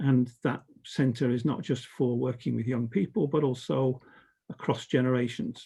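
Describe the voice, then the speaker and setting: A man with a southern British accent speaks at a moderate pace and medium pitch. His tone is dark and mellow, somewhat breathy, with ordinary pitch variation. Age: 70s. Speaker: educator and organisation development consultant. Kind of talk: conference talk. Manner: hesitant, many fillers.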